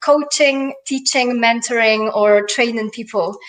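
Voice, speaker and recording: Noticeable background noise runs behind a woman with a slight Polish accent. She speaks at a moderate pace with ordinary pitch variation. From Poland. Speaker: life and business coach. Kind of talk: interview. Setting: live stream.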